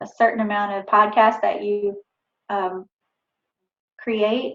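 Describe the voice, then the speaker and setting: Speaking at a very slow pace, a woman with a Southern accent uses a fairly high voice. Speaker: author. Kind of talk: talk to a writers group. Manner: casual, with many fillers.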